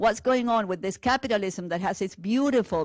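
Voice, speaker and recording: With a Spanish accent, the speaker uses lively intonation on a very clean recording with a silent background. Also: woman. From Argentina. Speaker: teacher. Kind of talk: lecture. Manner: hesitant with fillers.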